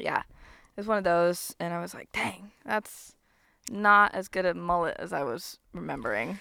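A woman with an American accent speaks at a fairly low pitch in a bright, sharp tone, with lively intonation and big swings in loudness, on a very clean recording with a silent background. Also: moderate pace. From US South. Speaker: podcast host. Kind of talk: casual interview. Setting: outdoors.

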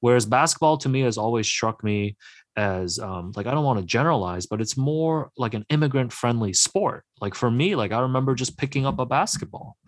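A man with a Canadian accent talks at a fairly quick pace in a normal speaking voice with ordinary pitch variation. The sound is dry and close with no echo, and the background is quiet. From Hong Kong, then Markham, Ontario. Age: 30s. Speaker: sports journalist and author. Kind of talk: radio interview.

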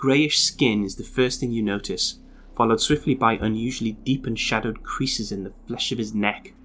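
Natural-sounding reading aloud

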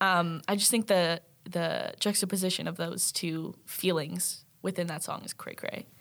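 Speaking at a fairly slow pace, a woman hardly pauses at all. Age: 20s. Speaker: journalism student. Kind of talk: casual chat. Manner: animated.

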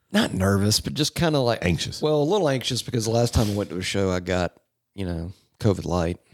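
Lively in intonation, a man talks at a very fast pace with a fairly low pitch. The recording is very clean, with a silent background. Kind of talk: casual chat.

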